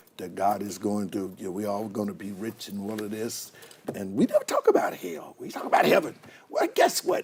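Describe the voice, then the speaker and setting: Speaking fairly quickly with an American accent, a man is heard over noticeable background noise. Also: big swings in loudness. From Oklahoma. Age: 60s. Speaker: pastor. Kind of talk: casual chat.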